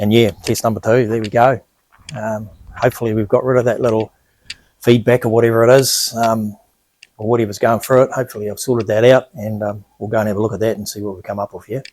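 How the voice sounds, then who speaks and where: Here a man talks at a very fast pace with big swings in loudness. His pitch sits at a medium level, and his intonation is monotone and flat. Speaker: video creator testing camera gear. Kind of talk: tutorial. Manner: hesitant, many fillers.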